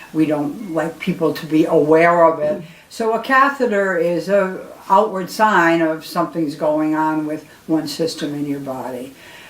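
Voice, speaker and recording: A fairly slow delivery with lively intonation, set in audible room echo. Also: woman, fairly low pitch for a woman. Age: 80s+. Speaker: retired nurse educator. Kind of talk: tutorial. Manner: halting.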